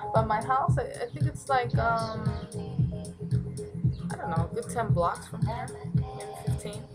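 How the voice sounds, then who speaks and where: A woman's voice over loud background music. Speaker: vlogger. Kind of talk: casual vlog chat. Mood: chatty, somewhat reflective. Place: home room. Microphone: webcam.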